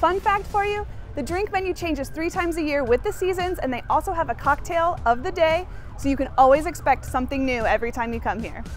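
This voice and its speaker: Set against faint music in the background, a woman's extremely high voice comes through with a dry sound and no echo. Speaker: show host. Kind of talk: promotional presenter talk. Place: bar.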